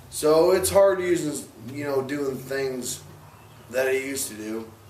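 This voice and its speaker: A man talks at a fairly slow pace in a fairly high voice with ordinary pitch variation. Noticeable background noise and audible room echo come through. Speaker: person living with ALS. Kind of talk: interview. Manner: slow, sometimes slurred speech.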